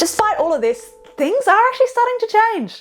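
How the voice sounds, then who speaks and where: A woman with an Australian accent talks while music plays behind her. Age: 20s. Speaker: political journalist and stand-up comedian. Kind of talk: comedic political explainer to camera. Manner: casual, upbeat, jokey.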